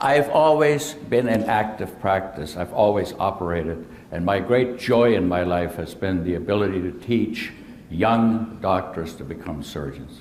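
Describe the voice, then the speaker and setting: Amid noticeable background noise and audible room echo, a man with a fairly low pitch talks at a fairly slow pace with lively intonation. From Germany. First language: German. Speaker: surgeon. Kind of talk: presentation talk. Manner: hesitant.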